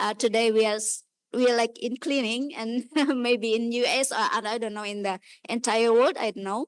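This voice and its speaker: The speaker has an Indonesian accent, and the sound is dry and close, with no echo. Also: woman. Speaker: audience member at a lecture. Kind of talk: audience comment in Q&A. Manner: halting, many fillers.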